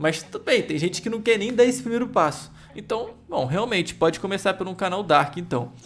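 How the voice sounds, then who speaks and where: A man talks with a Brazilian accent and ordinary pitch variation. Music plays in the background. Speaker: YouTube course creator. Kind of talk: tutorial. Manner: fast; energetic.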